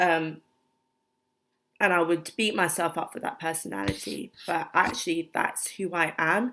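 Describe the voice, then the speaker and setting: On a very clean recording with a silent background, a woman with a British accent speaks at a fairly slow pace in a fairly low voice, with vocal fry and lively intonation. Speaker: vlogger. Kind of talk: personal vlog. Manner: soft-spoken; halting, many fillers.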